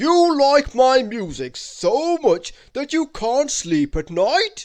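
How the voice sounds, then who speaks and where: Putting on a loud character voice, a man speaks at an extremely high pitch and a very slow pace with very wide pitch swings. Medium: read story. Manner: loud, booming.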